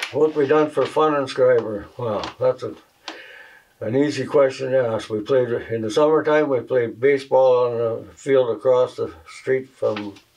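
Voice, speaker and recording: The intonation of this man stays fairly even. He talks at a fairly slow pace. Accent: rural Canadian. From Northwestern Ontario, Canada. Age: 80s+. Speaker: retired fuel industry worker. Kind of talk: interview. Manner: halting.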